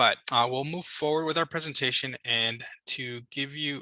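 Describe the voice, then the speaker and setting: Speaking with an American accent, a man talks fairly quickly in a bright, sharp tone with fairly even intonation, the sound dry and close with no echo. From Chicago. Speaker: government liaison. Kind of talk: information session presentation. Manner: hesitant, many filler words.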